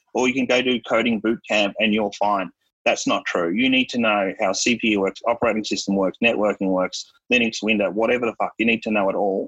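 A fairly quick man's voice in an Australian accent, medium in pitch with fairly even intonation and very even loudness, in a dry, close sound with no echo. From Australia, Melbourne. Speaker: cybersecurity executive. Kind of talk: casual interview.

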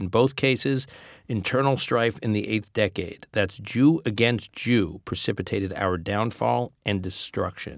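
Pitch rises and falls in an ordinary way as a man, using an unremarkable speaking voice, delivers his words at a moderate pace. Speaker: podcast host interviewer. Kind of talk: interview. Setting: studio, in person.

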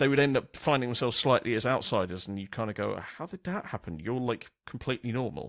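A man with a London accent speaks at a fairly quick pace in a medium-pitched voice with vocal fry. His pitch swings very widely, and the recording is very clean with a silent background. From South East London. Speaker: podcast host. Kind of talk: casual chat. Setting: studio with new microphone.

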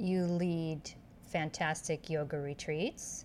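Her intonation is fairly even. This woman talks very slowly. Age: 50s. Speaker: podcast host. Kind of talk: casual interview.

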